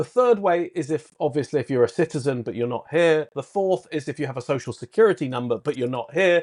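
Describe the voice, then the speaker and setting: Very fast, lively speech in a British accent with hardly any pauses and a dry, close sound with no echo. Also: man, fairly high pitch for a man. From Britain. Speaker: points and miles consultant. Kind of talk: podcast interview.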